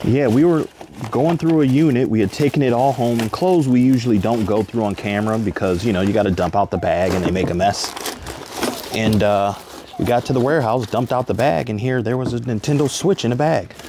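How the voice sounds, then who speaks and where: Against noticeable background noise, a man speaks at a fairly quick pace, the sound dry with no echo. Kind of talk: casual vlog chat. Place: garage. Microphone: phone near.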